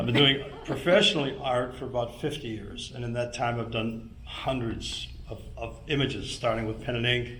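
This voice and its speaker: A man keeps a moderate pace while noticeable background noise and audible room echo fill the recording. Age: 70s. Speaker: landscape painter. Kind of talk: audience comment.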